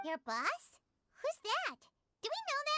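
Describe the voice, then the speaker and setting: In a put-on character voice, the speaker sounds squeaky and extremely high-pitched, with very wide pitch swings. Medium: video game. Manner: chirpy, bright.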